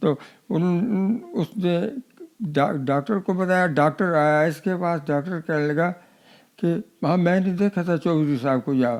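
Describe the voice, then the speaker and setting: Speaking at a high pitch with very even loudness, a man shows ordinary pitch variation. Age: 80s+. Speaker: partition survivor. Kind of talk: interview answer. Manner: halting, repetitive.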